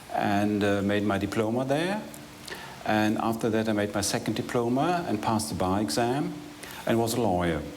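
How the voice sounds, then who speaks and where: A man's fairly low voice at a moderate pace, ordinary pitch variation and very even loudness, with audible room echo and noticeable background noise. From northwestern Germany. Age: 60s. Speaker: retired lawyer and manager. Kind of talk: interview. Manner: halting.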